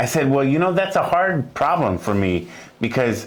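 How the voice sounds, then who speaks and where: In a room with audible echo and noticeable background noise, a man with a fairly high pitch and very wide pitch swings speaks at a moderate pace. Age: 60s. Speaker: music teacher. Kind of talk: interview. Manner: halting.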